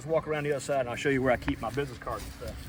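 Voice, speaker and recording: A man speaks at a fairly high pitch with fairly even intonation. Noticeable background noise runs behind him. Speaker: pest control technician. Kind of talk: tutorial. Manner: stuttering; casual.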